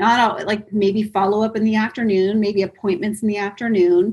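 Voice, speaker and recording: The tone is energetic and somewhat breathy. Delivery moves at a fairly quick pace. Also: woman. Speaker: real estate team leader. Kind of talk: interview. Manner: fast.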